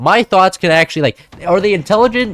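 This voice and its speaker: The delivery is animated, at a very fast pace with lively intonation. The sound is dry and close with no echo. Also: man. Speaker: gaming streamer. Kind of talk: casual gameplay commentary.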